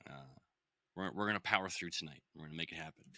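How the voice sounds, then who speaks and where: A man speaks at a very fast pace with a bright, sharp tone. The sound is dry and close, with no echo. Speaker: podcast host. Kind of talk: casual chat. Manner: casual.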